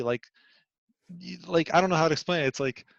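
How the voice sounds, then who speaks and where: A man's fairly high voice with a Bosnian accent, dry and close with no echo. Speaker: IT system administrator. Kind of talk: casual interview chat.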